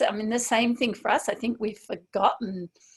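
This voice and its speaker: Fairly high, somewhat breathy woman's voice, fairly quick, with ordinary pitch variation. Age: 60s. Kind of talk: interview answer. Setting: video call.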